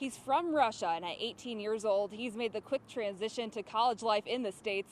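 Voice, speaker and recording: A woman talks fairly quickly in a normal speaking voice, her pitch fairly high and its variation ordinary. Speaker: TV sports anchor and reporter. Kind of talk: TV sports news anchor read.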